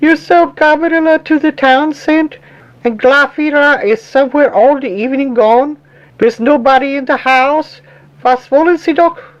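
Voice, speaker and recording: A woman puts on a character voice at a high pitch. She talks at a moderate pace with ordinary pitch variation. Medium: read story. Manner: prim, suspicious, moralizing.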